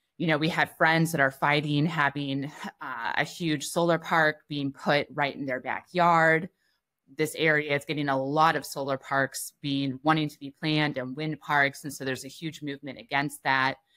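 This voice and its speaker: This woman speaks at a moderate pace with an American accent, her very deep, low voice bright and sharp in tone yet flat and monotone in intonation, against a quiet background. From US Midwest. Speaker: freelance journalist; interview guest. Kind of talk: interview conversation. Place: home room.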